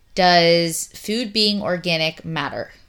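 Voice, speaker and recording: The recording is very clean, the background silent. The voice belongs to a woman. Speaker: podcast host. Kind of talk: casual conversational interview. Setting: at home. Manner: loud, carrying voice.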